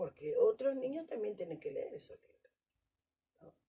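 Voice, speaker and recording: A woman with a Rioplatense accent at a moderate pace. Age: 60s. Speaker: Afro women's activist. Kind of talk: panel discussion.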